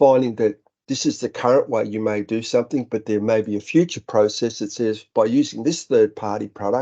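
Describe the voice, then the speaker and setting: At a fairly quick pace, a man with an Australian accent speaks at a medium pitch in a dark, mellow tone. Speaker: software company director. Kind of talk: webinar presentation. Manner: halting.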